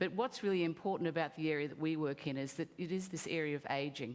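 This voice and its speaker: A woman with an Australian accent speaks at a fairly quick pace. Her pitch is very deep and low, with ordinary variation. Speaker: company CEO. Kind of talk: conference pitch.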